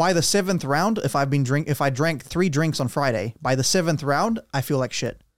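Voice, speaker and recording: A man speaks with a fairly high pitch and lively intonation. The recording is very clean, with a silent background. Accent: New Zealand. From Romania. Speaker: podcast host. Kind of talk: casual chat. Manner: excitable.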